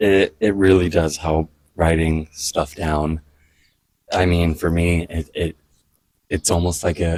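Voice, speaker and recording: Very deep and low, a man's voice comes across somewhat breathy. He speaks fairly slowly with monotone, flat intonation. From US, Miami. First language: Spanish. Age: 20s. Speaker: vlogger. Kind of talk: personal reflective monologue. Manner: halting, with repeated words.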